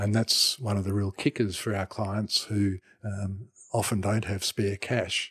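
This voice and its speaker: A man with an Australian accent speaks at a fairly slow pace in a fairly low voice, his intonation flat and monotone, in a dry, close recording with no echo that is very clean over a silent background. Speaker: retired anaesthetist doctor. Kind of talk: interview answers, explanatory.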